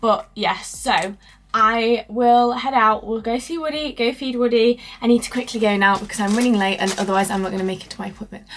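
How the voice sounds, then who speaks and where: With a British accent, a woman speaks at a fairly high pitch. Her pace is fairly quick and her intonation fairly even. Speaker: lifestyle vlogger. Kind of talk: casual vlog chat. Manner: loud.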